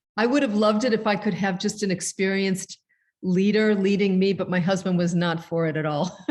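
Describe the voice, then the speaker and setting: This woman has an unremarkable speaking voice at a medium pitch, with fairly even intonation. She talks at a fairly quick pace with very even loudness. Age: 60s. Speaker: author and presenter. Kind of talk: casual chat.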